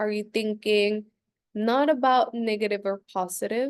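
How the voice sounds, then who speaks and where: Her pitch is fairly high for a woman. She speaks at a moderate pace with ordinary pitch variation. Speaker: spiritual coach hosting live Q&A. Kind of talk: live Q&A talk.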